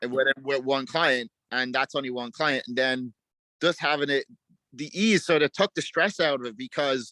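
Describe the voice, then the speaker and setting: A man with an Irish accent speaks at a fairly high pitch with a bright, sharp tone. The recording is very clean and dry, close with no echo, against a silent background. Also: ordinary pitch variation, moderate pace. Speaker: dog trainer. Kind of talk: interview answer.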